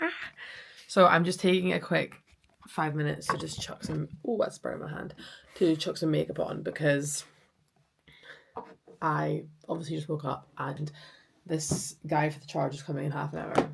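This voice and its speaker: A woman with a Scottish accent speaks at a moderate pace, with long, frequent pauses and big swings in loudness. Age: 20s. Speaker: vlogger and project engineer. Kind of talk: casual vlog chat. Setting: home office. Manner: chatty.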